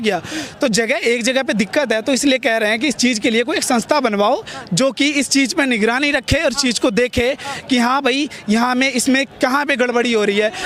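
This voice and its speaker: Amid noticeable background noise, a man with an extremely high pitch talks at a moderate pace with ordinary pitch variation. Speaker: student protester. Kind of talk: street interview. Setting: outdoors at a protest. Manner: animated.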